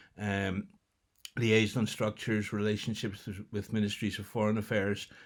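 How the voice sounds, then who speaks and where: A man speaks at a moderate pace in a Northern Irish accent, his pitch fairly low. The recording is very clean, with a silent background. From Northern Ireland. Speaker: international development project leader. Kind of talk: recorded welcome address. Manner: hesitant, many fillers.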